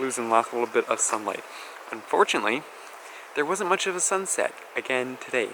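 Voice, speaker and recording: The delivery moves at a fairly quick pace. Noticeable background noise runs underneath. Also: man. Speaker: travel vlogger. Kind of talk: casual vlog narration. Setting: outdoors at campsite by river.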